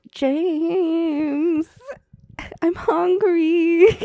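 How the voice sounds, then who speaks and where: This is a put-on character voice with an extremely high pitch. It sounds whiny. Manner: cutesy, whiny, pleading.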